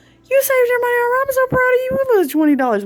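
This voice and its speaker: A woman puts on a squeaky character voice at an extremely high pitch. Her tone is warm and excited. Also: very fast pace. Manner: warm, excited, praising.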